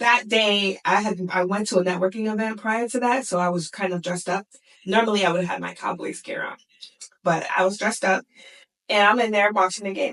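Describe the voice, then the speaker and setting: A woman with an American accent uses a plain, everyday voice at medium pitch, speaking at a fairly quick pace with fairly even intonation. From US Midwest, Indiana (Gary). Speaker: sports psychologist. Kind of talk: interview.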